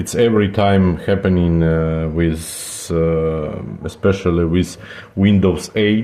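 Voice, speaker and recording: A man with a non-native accent at a very slow pace, fairly even intonation, over noticeable background noise. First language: not English. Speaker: computer repair technician. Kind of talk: tutorial. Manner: halting, many fillers.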